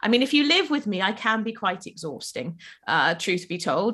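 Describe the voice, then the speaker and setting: The pitch swings very widely in this bright, sharp voice with a South Welsh accent. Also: woman. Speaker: life coach. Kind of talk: casual interview. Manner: animated.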